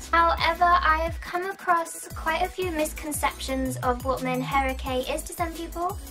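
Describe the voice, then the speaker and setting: A squeaky voice at a moderate pace, with music in the background. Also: woman. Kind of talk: explainer talk to camera.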